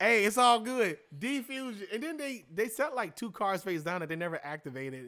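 Raised and projected, a man's bright, sharp voice runs high for a man with very wide pitch swings at a moderate pace. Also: hardly any pauses, very clean recording, silent background. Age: 20s. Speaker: actor and card game player. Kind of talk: casual chat. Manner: halting.

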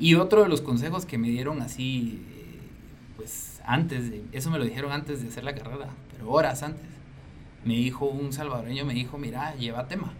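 With noticeable background noise and audible room echo, a man with a fairly high pitch speaks at a fairly quick pace. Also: ordinary pitch variation. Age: 40s. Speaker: business manager and musician. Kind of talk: interview.

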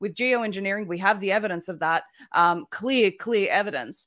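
A woman speaks with an Australian accent and lively intonation. Her tone is bright and sharp. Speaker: independent media founder. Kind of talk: panel discussion.

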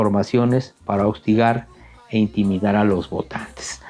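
A man's speech comes at a moderate pace, with noticeable background noise present throughout. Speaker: podcast host, book reviewer. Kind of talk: scripted narration. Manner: stutters.

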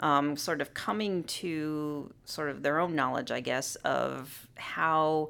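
On a very clean recording with a silent background, a woman speaks with an American accent. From US, Southern California. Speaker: psychology professor. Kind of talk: interview. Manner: frequent filler words (um, uh).

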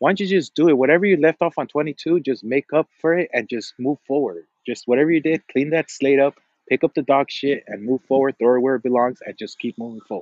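Very fast speech comes from a man with a fairly high pitch. The pitch varies in an ordinary way. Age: 30s. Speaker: call-in panel guest. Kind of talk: casual chat. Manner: animated.

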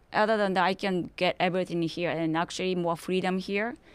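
A woman with a Japanese accent talks at a moderate pace in a medium pitch. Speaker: interview guest. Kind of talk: interview.

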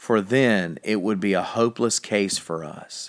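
In a plain, everyday voice, a man speaks at a fairly slow pace with fairly low pitch and ordinary pitch variation on a very clean recording with a silent background. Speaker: devotional reader. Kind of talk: reading aloud devotional, then fervent prayer. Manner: solemn, reverent, earnest; slow, fervent, heartfelt in prayer.

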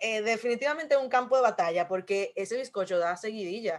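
A woman speaks at a fairly quick pace. Her pitch is fairly high, and her intonation is lively. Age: 20s. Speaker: podcast co-host. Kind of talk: casual chat.

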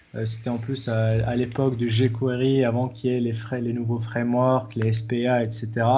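Speaking at a fairly slow pace with hardly any pauses, a man with a somewhat breathy, medium-pitched voice holds a monotone, flat intonation. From Morocco, Agadir. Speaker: software developer and fitness coach. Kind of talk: interview.

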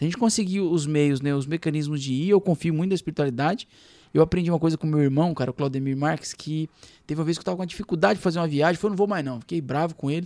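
A man with a São Paulo accent talks at a very fast pace and a high pitch. The recording is very clean, with a silent background. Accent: Paulistano. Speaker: radio host. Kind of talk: casual chat.

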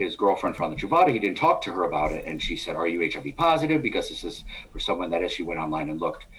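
A man with an American accent talks at a very fast pace. Noticeable background noise runs underneath. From New York. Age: 50s. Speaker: adult film producer. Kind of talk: casual chat.

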